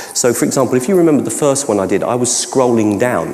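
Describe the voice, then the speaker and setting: A man speaks at a medium pitch with lively intonation. Audible room echo surrounds his voice. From London (Cockney). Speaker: educational technology trainer and keynote speaker; presenter. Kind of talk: conference Q&A. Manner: halting, many false starts. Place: hall.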